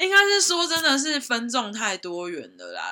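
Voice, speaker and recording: The speaker talks at a moderate pace with a southern Taiwanese accent. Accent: Tainan Taiwanese Mandarin, little retroflex. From Taiwan, Tainan. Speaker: guest on podcast, personal brand creator. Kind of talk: casual chat.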